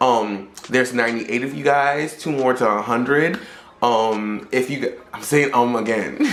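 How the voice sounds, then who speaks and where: With ordinary pitch variation, the voice is heard amid noticeable background noise and audible room echo. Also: man, medium pitch for a man. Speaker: YouTuber. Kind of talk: storytime vlog. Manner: fast; frequent 'um' fillers.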